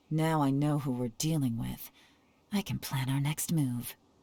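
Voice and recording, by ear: In a put-on character voice, a woman speaks at a fairly slow pace with extremely low pitch, a dark, mellow tone, a slightly husky edge and fairly even intonation.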